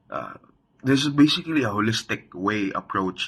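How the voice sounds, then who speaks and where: Speaking at a fairly slow pace, a man with a Visayan Filipino accent uses lively intonation and a bright, sharp tone. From Philippines, Visayas/Mindanao (Bisaya-speaking). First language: Bisaya. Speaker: student or teacher presenter. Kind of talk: class presentation. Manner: halting, many fillers.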